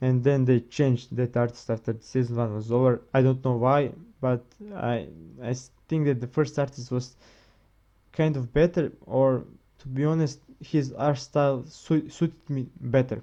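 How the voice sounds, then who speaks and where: A man's medium-pitched voice, dark and mellow in tone, with a non-native accent, a moderate pace, and fairly even intonation. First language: not English. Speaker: manga reviewer, video creator. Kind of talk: casual video review. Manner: halting, many repetitions and self-corrections.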